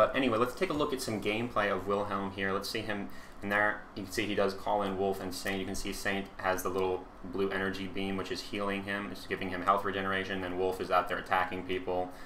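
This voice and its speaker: A man's fairly low voice at a very fast pace, with fairly even intonation and audible room echo. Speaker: gaming YouTuber. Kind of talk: gameplay commentary. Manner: halting, many fillers.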